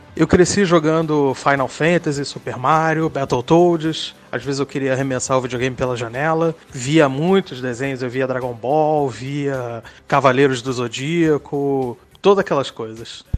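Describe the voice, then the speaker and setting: Music plays in the background as the speaker goes at a fairly slow pace with hardly any pauses. The pitch varies in an ordinary way. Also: man, fairly high pitch for a man. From Rio de Janeiro, Brazil. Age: 30s. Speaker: listener sharing a personal story. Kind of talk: recorded personal testimony.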